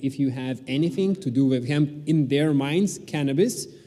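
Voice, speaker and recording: His voice sits at a fairly high pitch with a dark, mellow tone. The man's pitch variation is ordinary. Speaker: hemp food company CEO. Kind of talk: conference talk. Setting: stage with audience. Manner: halting, many fillers.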